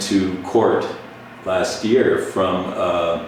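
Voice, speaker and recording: A man is heard with audible room echo. Noticeable background noise runs underneath. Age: 60s. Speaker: retired firefighter and activist. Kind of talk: interview.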